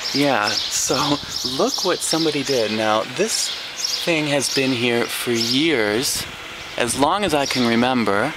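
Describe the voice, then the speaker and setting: Speech comes at a very slow pace with very even loudness and ordinary pitch variation, amid audible room echo and noticeable background noise. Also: man, medium pitch for a man. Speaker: English teacher and vlogger. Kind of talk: casual video tour. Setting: outdoors on a street. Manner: soft-spoken, speaking quietly; exaggerated mouth movement, clear articulation.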